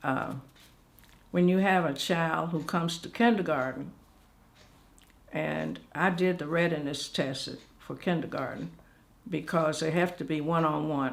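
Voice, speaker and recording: An American accent with vocal fry, ordinary pitch variation, and long, frequent pauses. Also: woman, very deep, low pitch for a woman. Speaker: retired educator and school administrator. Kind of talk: oral history interview answer.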